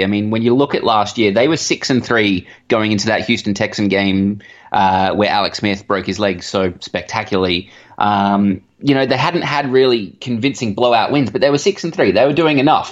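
Against a quiet background, a man with an Australian accent talks fairly quickly at a fairly low pitch with ordinary pitch variation. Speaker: sports blogger. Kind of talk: interview. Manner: hesitant, many fillers.

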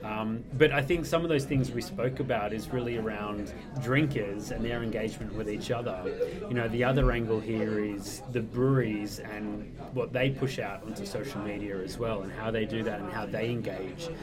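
Noticeable background noise sits behind a man with a medium-pitched voice. He speaks at a moderate pace with ordinary pitch variation. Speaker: blogger. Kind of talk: casual chat.

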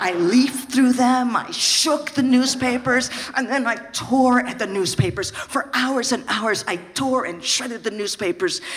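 Over noticeable background noise, the speech runs at a fairly slow pace with hardly any pauses. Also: woman, high pitch for a woman, ordinary pitch variation. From San Francisco. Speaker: storyteller, comedian. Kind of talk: live storytelling.

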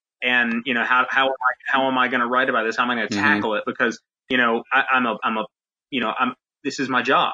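A very fast man with an American accent, medium pitch and monotone, flat intonation. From North Carolina. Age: 30s. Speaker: sports recruiting journalist. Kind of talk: casual interview.

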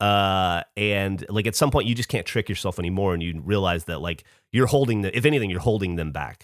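A normal speaking voice at a fairly quick pace with ordinary pitch variation. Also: man, fairly low pitch for a man. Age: 40s. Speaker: podcast co-host. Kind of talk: casual chat.

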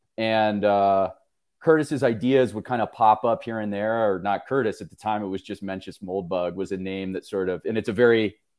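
A man's plain, everyday voice, fairly low in pitch with ordinary pitch variation, at a moderate pace, in a very clean recording with a silent background. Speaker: publisher. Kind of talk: casual discussion.

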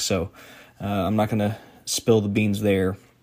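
The recording is very clean, with a silent background. A man speaks in a Southern US accent at a fairly low pitch. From southeast Georgia. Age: 30s. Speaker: podcast host. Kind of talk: casual chat. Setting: on the road for intro.

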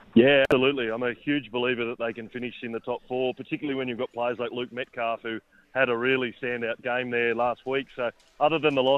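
A man at medium pitch, flat and monotone, at a very fast pace. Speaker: sports editor. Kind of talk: sports radio chat.

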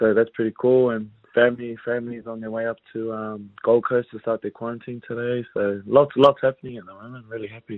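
A man speaks at a fairly quick pace with a New Zealand accent. His medium-pitched voice stays monotone, with flat intonation. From New Zealand (West Auckland). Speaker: rugby league player. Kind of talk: casual interview.

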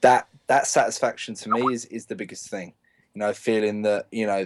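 A man's medium-pitched voice with a London accent, at a moderate pace. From North London, England. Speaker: professional paintball player. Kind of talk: casual chat.

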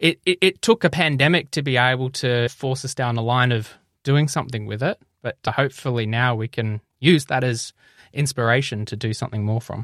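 In an Australian accent, a man talks fairly quickly at a medium pitch with ordinary variation, on a dry, close, very clean recording with a silent background. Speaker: health tech podcaster and company director. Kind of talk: interview conversation.

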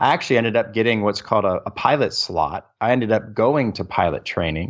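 A man speaks at a fairly quick pace in a normal speaking voice with a medium pitch. The background is quiet. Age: 40s. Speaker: military service member and real estate investor. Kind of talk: interview. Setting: remote call from a different time zone.

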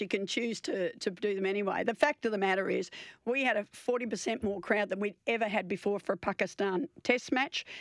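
Speaking fairly quickly with hardly any pauses, a woman with an Australian accent shows ordinary pitch variation on a very clean recording with a silent background. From eastern Australia (born Victoria, played in New South Wales). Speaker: outgoing cricket association chief executive, former test cricketer. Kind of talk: radio interview. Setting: radio studio. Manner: halting, many fillers and repetitions.

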